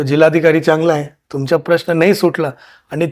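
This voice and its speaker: A man is captured on a very clean recording with a silent background. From India, raised partly in Karnataka and Delhi. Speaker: district collector, civil servant. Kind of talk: interview. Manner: halting.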